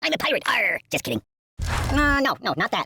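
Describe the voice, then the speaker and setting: In a put-on character voice, the speaker uses a high pitch at a fairly quick pace. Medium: video game. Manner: whiny, comic.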